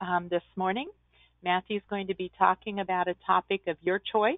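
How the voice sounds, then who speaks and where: A woman speaks at a moderate pace. The sound is dry, with no echo. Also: quiet background. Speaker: virtual conference host. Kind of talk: webinar introduction and announcements. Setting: video call. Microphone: webcam.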